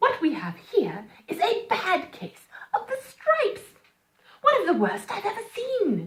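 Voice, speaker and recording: Putting on a character voice, a woman speaks at a fairly slow pace with an extremely high pitch, a gentle tone, and big swings in loudness. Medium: read story. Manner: kind, gentle, bright.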